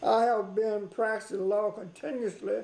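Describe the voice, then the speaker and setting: High-pitched and dark, mellow in tone, a man speaks at a fairly slow pace with fairly even intonation. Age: 90s. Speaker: lawyer. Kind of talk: interview. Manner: halting.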